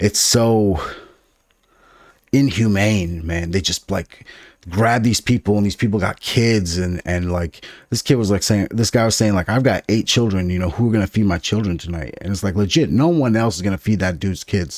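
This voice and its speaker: A man's fairly low voice at a moderate pace with ordinary pitch variation, dry and close with no echo, on a very clean recording with a silent background. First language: Farsi (Dari). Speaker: podcast co-host. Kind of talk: casual chat. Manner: animated.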